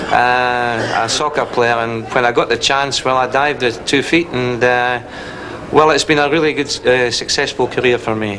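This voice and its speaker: A man at a moderate pace with fairly even intonation over noticeable background noise. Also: medium pitch for a man. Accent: Scottish. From Scotland. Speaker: football coach. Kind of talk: interview.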